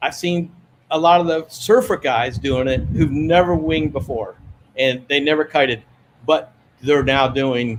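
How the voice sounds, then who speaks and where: This is an unremarkable speaking voice. Its pitch varies an ordinary amount. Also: man, fairly high pitch for a man. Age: 60s. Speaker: wing foiler. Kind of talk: interview answer. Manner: relaxed, conversational.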